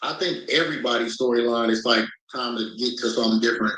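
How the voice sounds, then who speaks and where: The man speaks loudly with a bright, sharp tone. Room echo is audible. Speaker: reality TV cast member. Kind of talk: interview. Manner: halting.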